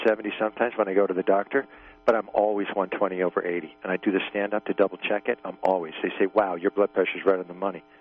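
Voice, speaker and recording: Music plays in the background as a man speaks very fast at a fairly low pitch. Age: 60s. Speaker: caller. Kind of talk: casual chat. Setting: phone call. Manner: halting.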